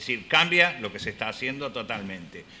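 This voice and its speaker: Over audible room echo, a man talks at a moderate pace. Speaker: health economics professor and researcher. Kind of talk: conference lecture. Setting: conference hall with audience. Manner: halting, with filler words.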